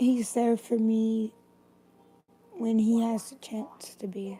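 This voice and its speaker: At a very slow pace, a woman with a fairly high pitch talks with long, frequent pauses. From Tennessee. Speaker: livestreamer. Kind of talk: casual chat.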